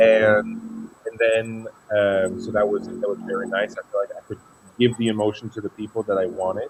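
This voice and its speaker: A man with a French accent speaks at a moderate pace over noticeable background noise. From Luxembourg. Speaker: singer. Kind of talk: interview.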